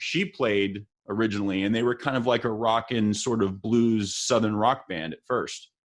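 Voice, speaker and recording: A man's medium-pitched voice with an American accent, fairly even intonation, hardly any pauses, and a quiet background. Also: moderate pace. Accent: Texas accent, noticed by others outside Texas. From El Paso, Texas. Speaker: musician and livestream interview host. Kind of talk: casual interview chat. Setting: livestream.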